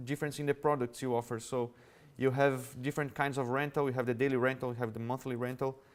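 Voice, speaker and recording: In a Brazilian Portuguese accent, a man with a fairly high pitch speaks with fairly even intonation on a very clean recording with a silent background. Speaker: revenue management executive. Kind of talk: conference talk. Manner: halting.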